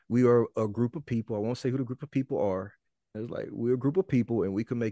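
A man with a Mississippi accent speaks at a very fast pace and medium pitch, with a dark, mellow tone and ordinary pitch variation. The sound is dry and close with no echo, against a quiet background. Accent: US Southern, Mississippi. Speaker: rapper and podcaster. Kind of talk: interview conversation.

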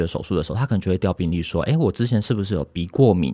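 Very fast and with lively intonation, a man speaks in a dark, mellow tone on a very clean recording with a silent background and a dry, close sound with no echo. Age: 20s. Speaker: insurance agent. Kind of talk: interview.

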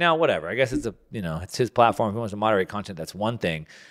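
A man speaks with vocal fry and very wide pitch swings. The recording is very clean, the background silent. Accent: American. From United States. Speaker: podcast host. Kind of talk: solo commentary monologue. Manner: halting, with fillers and repetitions.

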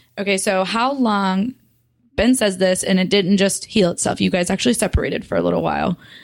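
A woman talks at a fairly quick pace with vocal fry. Her loudness stays very even and her intonation fairly even. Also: medium pitch for a woman. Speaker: podcast co-host. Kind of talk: casual interview chat.

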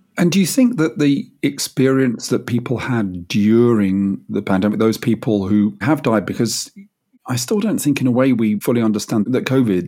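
A man with a British accent, a dark, mellow tone and ordinary pitch variation. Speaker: podcast host. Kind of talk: interview.

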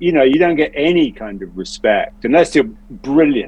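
A man with an English accent, lively intonation and a moderate pace. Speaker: actor. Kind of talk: casual chat.

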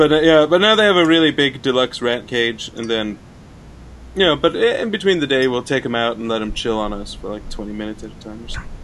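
A man's medium-pitched voice at a very fast clip, with lively intonation and big swings in loudness. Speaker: co-host. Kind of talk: casual comedy chat.

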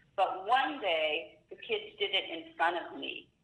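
Using a plain, everyday voice, a woman speaks at a medium pitch with ordinary pitch variation. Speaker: special education attorney. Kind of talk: expert Q&A interview.

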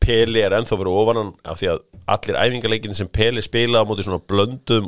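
A man is heard here. His is an ordinary speaking voice. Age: middle-aged. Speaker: football podcast host. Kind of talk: casual chat.

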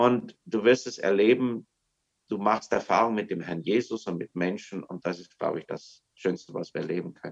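Loudness swings widely as a man with an unremarkable speaking voice talks at a moderate pace with ordinary pitch variation. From Germany. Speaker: missionary. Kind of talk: casual chat. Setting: video call.

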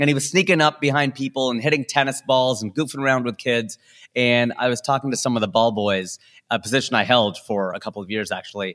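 A man with an American accent at a very fast pace and medium pitch, ordinary pitch variation, dry and close with no echo, on a very clean recording with a silent background. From US Midwest, Cincinnati, Ohio. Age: 40s. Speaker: stand-up comedian. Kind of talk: casual interview chat with comic asides.

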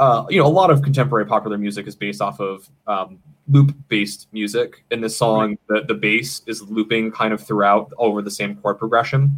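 Speaking at a fairly quick pace with hardly any pauses, this normal speaking voice has an American accent and ordinary pitch variation. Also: man, fairly low pitch for a man. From Maine, US. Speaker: podcast producer and guest. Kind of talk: casual chat. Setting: home studio.

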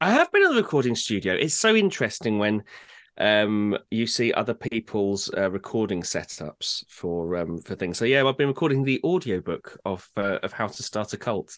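With an English accent, a man speaks at a medium pitch. The sound is dry and close with no echo, over a quiet background. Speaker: podcast co-host. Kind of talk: casual chat. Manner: fast.

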